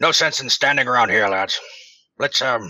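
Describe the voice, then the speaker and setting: A raspy, put-on character voice at a moderate pace. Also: man. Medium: actual play. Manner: jovial, clipped upper-class politeness.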